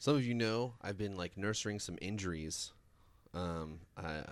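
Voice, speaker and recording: Against a silent background on a very clean recording, a man talks at a fairly slow pace with a very deep, low pitch and ordinary pitch variation. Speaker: podcast co-host. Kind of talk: casual chat.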